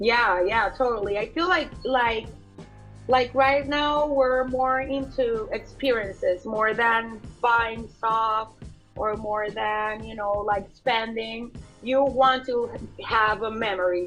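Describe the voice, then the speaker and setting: With music in the background, a woman with a Colombian accent speaks at a very slow pace and fairly high pitch, with ordinary pitch variation. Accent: soft Colombian Spanish. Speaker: fashion designer. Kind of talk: interview answer.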